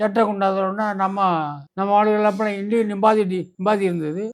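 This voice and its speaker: Here a man speaks at a high pitch. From Burma. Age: 80s+. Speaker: war veteran. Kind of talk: interview answer.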